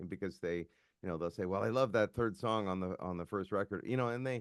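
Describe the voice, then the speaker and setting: Over a quiet background, a man with a Canadian accent speaks with lively intonation and a very deep, low pitch. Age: 60s. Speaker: musician. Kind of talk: casual chat.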